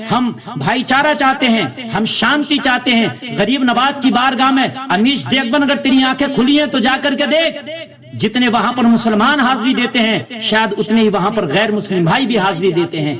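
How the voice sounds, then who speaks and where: Against noticeable background noise, a man speaks at an extremely high pitch with ordinary pitch variation and very even loudness. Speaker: Islamic scholar (mufti). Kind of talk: public statement condemning a TV anchor, passionate speech. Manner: emphatic, indignant.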